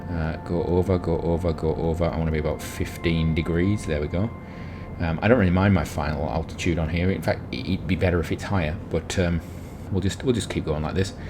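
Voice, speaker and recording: Music plays behind a man whose very deep, low voice moves at a fairly quick pace with fairly even intonation. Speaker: gaming youtuber. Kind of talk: gameplay commentary. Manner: fast.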